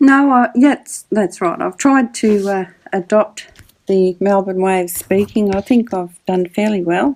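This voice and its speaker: A woman speaks at a medium pitch with a slight rural Australian accent. Her pace is fairly slow, her pitch variation ordinary, and her loudness swings widely. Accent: Australian, slight country. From Australia, country Victoria. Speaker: public speaking mentor. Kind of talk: casual interview chat.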